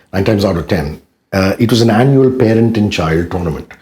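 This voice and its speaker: Somewhat breathy and dark, mellow in tone, a man speaks at medium pitch and moderate pace with lively intonation. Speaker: radio jockey. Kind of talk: interview answer.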